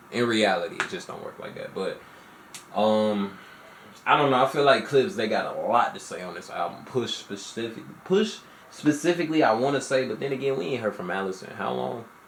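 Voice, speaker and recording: Amid noticeable background noise and audible room echo, a medium-pitched man talks at a fairly quick pace with lively intonation and big swings in loudness. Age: 20s. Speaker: music reaction youtuber. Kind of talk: casual reaction commentary. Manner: casual, filler-heavy.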